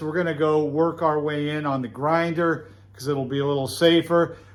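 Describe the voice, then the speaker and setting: A man speaks with a fairly high pitch. His pace is moderate and his pitch varies in an ordinary way. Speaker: knifemaker hobbyist youtuber; military veteran. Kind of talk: workshop tutorial. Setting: workshop forge with earplugs in. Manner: loud; casual, filler-heavy.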